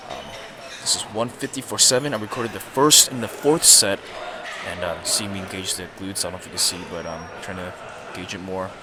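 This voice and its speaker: The speech moves at a fairly quick pace with ordinary pitch variation and big swings in loudness. Noticeable background noise and audible room echo surround it. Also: man, fairly low pitch for a man. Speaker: fitness vlogger. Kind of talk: voice-over commentary. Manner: fast; casual.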